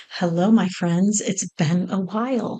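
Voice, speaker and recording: Using a raspy, put-on character voice, a woman speaks at medium pitch and a fairly slow pace with fairly even intonation. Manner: warm greeting after time away.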